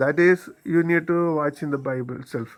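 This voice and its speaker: The speaker has a strong non-native accent and talks at a fairly slow pace. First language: Malayalam. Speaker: YouTuber commentator. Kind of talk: monologue commentary. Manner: halting, many fillers.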